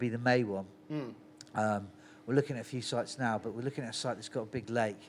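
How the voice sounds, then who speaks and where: A man with a Cornish accent talks at a very fast pace in a medium pitch. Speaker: festival organiser and brewer. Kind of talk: casual chat. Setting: on location at a brewery. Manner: animated storyteller.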